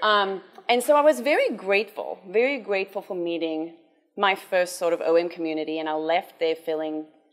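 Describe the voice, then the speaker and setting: Spoken with a South African accent, the voice moves at a fairly quick pace with lively intonation. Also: woman, medium pitch for a woman. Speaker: cancer survivor and charity development officer. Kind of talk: conference talk.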